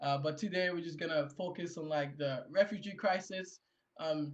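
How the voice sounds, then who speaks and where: A man with a strong Haitian accent talks at a moderate pace in a somewhat breathy voice. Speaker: panel moderator. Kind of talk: panel discussion. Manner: halting, many fillers and repeats.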